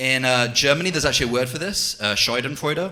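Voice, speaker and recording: The speaker has an American accent and ordinary pitch variation. The pace is very fast. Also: man. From England. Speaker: amateur stand-up comedian. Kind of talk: stand-up. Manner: hesitant, many fillers.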